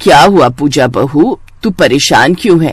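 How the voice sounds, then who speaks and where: In a cartoonish character voice, a raspy man speaks at a fairly high pitch with lively intonation. His pace is moderate. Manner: motherly, warm.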